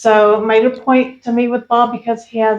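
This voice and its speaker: A woman with an American accent and an unremarkable speaking voice talks at a moderate pace with a fairly high pitch. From Oklahoma. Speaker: podcast host. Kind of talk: interview.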